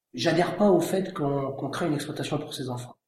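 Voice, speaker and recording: This man has a fairly high voice with ordinary pitch variation and talks at a fairly quick pace. The room echo is audible. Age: 40s. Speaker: winegrower. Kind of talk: interview.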